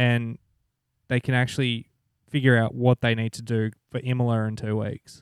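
A man with a strong Australian accent talks at a moderate pace and medium pitch in a monotone, flat way, with long, frequent pauses, the sound dry and close with no echo. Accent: broad Australian. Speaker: podcast co-host. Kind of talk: casual chat.

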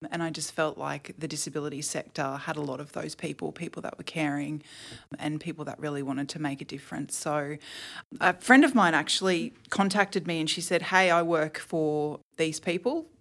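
The speech moves at a moderate pace with ordinary pitch variation. Loudness swings widely throughout. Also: woman. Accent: Australian. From Queensland, Australia (Toowoomba). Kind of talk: podcast interview.

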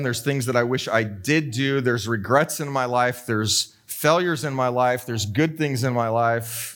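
With music in the background, a man speaks at medium pitch and a moderate pace, keeping his intonation fairly even. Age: 40s. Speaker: pastor. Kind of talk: sermon.

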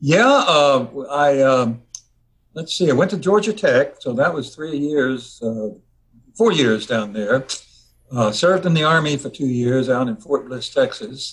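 A somewhat breathy man with an American accent speaks at a fairly slow pace. His intonation is lively, and he takes long, frequent pauses. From Virginia. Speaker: music arranger, retired engineer. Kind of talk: interview.

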